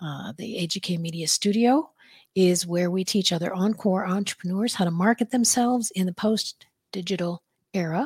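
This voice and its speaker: A woman talks at a moderate pace in a medium pitch. Her voice is somewhat breathy, with ordinary pitch variation. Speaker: podcast host and presenter. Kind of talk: business presentation. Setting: video call with screen share.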